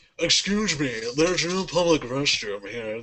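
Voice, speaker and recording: Here a man puts on a character voice. It sits fairly high in pitch and moves at a moderate pace. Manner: snooty, haughty.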